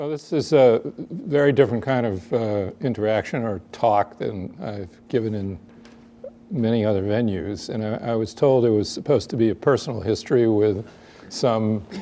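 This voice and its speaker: With an American accent, a man speaks in a dark, mellow tone and ordinary pitch variation. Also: medium pitch for a man, moderate pace. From Boston, Dorchester. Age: 70s. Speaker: biomedical scientist. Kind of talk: personal history talk.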